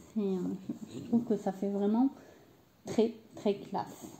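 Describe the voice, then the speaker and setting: A woman at a very slow pace, medium in pitch, with ordinary pitch variation. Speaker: crafting youtuber. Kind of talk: tutorial. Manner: hesitant, many fillers.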